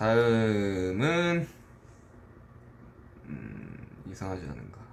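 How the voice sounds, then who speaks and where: This is a man speaking at a medium pitch. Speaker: rapper and songwriter. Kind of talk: casual livestream talk. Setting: dorm room.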